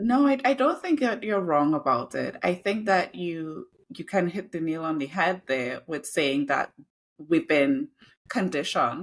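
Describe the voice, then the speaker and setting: A woman with a Trinidadian accent speaks at a fairly slow pace, her intonation lively. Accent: noticeable Trinidadian. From Trinidad, then UK from age 12. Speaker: diversity, equity and inclusion consultant and copywriter. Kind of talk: interview conversation.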